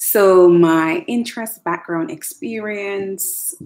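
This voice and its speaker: A woman speaks at a very slow pace with a Jamaican accent. Her pitch swings very widely. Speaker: educational technologist. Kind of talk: casual vlog monologue. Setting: home attic, livestream.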